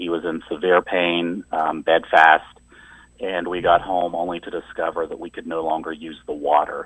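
Speaking at a moderate pace with an Appalachian accent, a man uses a very deep, low pitch and monotone, flat intonation, with big swings in loudness. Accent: Appalachian American. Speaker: environmental organizer. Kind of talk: radio interview.

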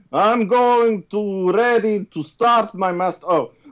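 This is a reading aloud in a natural voice.

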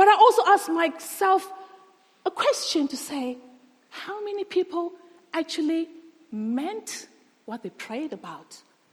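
In a non-native accent, a woman speaks at an extremely high pitch, her voice swinging very widely in pitch and greatly in loudness. She goes at a fairly slow pace, stopping often for long pauses. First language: not English. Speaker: guest preacher. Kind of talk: sermon. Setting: church.

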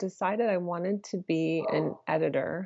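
A woman with an American accent and a normal speaking voice talks at a fairly low pitch and a fairly slow pace. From Michigan, US Midwest. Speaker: film and VR producer. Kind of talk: interview.

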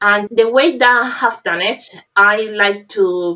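In a Spanish accent, the voice has a bright, sharp tone and fairly even intonation. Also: woman. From Cuba. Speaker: pharmacist. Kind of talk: interview.

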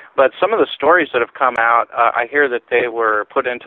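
Talking at a fairly quick pace, a man with a normal speaking voice keeps a medium pitch and fairly even intonation. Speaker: UFO researcher. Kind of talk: radio interview.

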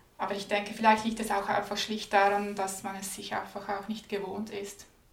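A woman at a medium pitch, monotone and flat, at a moderate pace over noticeable background noise. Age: 20s. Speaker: graduate student and anti-racism speaker. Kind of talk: interview conversation.

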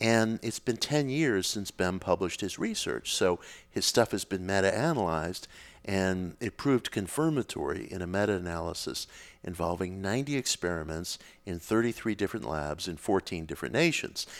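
A man with an American accent and an unremarkable speaking voice, fairly low in pitch, with lively intonation at a moderate pace, in a very clean recording with a silent background. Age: 50s. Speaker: author on occult and spirituality. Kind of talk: casual interview conversation.

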